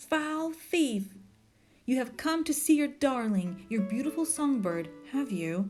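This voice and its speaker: Using a put-on character voice, a woman speaks high and at a fairly slow pace over faint background music and hissing. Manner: furious, accusing.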